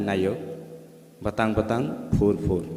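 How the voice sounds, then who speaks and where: Over noticeable background noise and audible room echo, a man with a fairly low voice speaks at a moderate pace. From Tripura, northeast India. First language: Tripura (Kokborok). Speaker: poet. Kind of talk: poetry reading. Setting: literary festival stage with audience.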